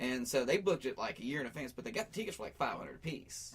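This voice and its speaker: With an American accent, a man talks at a very fast pace, his pitch swinging very widely. Noticeable background noise runs underneath. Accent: Appalachian, noticeable to others. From US South, Appalachia. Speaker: musician and pro wrestler. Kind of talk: casual chat. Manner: talkative.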